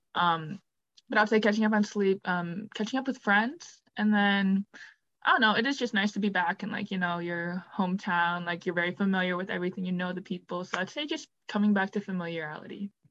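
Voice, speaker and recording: A woman with an American accent speaks at a fairly quick pace and a medium pitch. She has a normal speaking voice with ordinary pitch variation. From Wisconsin, near Milwaukee. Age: 20s. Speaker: college student, team member. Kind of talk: casual chat.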